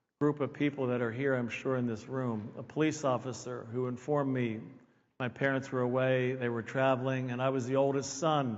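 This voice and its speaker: A man speaks in an American accent at a fairly quick pace and medium pitch. His intonation is monotone and flat, with audible room echo. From Pennsylvania, near Philadelphia. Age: 60s. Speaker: keynote speaker. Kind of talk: conference talk.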